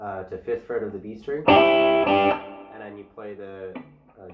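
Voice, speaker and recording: Music plays in the background as a man speaks very slowly at a fairly low pitch. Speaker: guitar teacher. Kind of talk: guitar lesson tutorial.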